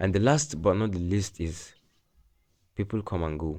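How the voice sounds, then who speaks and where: In a non-native accent, a man speaks at a moderate pace with a very deep, low pitch and a dark, mellow tone. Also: quiet background. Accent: non-native English, self-noted imperfections. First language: not English. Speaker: self-help vlogger. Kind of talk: personal monologue. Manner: halting.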